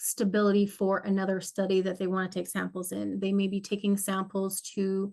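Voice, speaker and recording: A woman's voice at medium pitch. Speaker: study group instructor. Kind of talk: online study session, reading and answering participant comments. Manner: fast.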